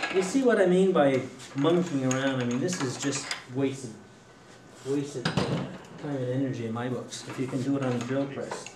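Against noticeable background noise, a man with a fairly high pitch and ordinary pitch variation speaks at a moderate pace, leaving long, frequent pauses. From Quebec, Trois-Rivières; Quebec. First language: French. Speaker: woodturner giving a demo; woodturning instructor. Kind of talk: live demonstration to a club audience; joke telling. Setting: room with a live audience. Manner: hesitant, many fillers. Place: workshop.

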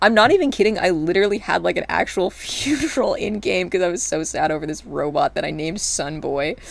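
Over noticeable background noise, a woman talks at a very fast pace with hardly any pauses. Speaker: streamer. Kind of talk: casual livestream chat while gaming. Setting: live stream, home recording. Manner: rambling, hesitant with many filler words.

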